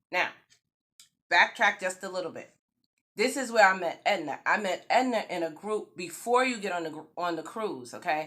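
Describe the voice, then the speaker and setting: Her tone is bright, sharp and animated, with a slight New York accent. The woman's pitch is medium, with ordinary variation, at a moderate pace. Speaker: YouTube vlogger. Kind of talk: storytime vlog. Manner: casual.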